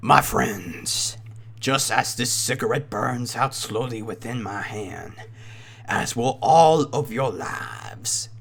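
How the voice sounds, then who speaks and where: Using a put-on character voice, a man speaks at a fairly slow pace in a raspy tone of medium pitch. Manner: eerie, scoffing, menacing.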